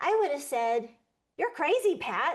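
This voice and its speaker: The speaker is a woman. The background is quiet. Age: 60s. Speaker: artist and show co-host. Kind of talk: casual chat.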